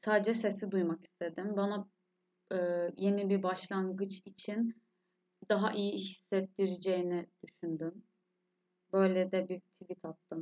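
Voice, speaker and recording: Speaking fairly slowly, a woman leaves long, frequent pauses. Her medium-pitched voice stays monotone and flat. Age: 20s. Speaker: podcast host, university student. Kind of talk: solo podcast monologue. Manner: emotional.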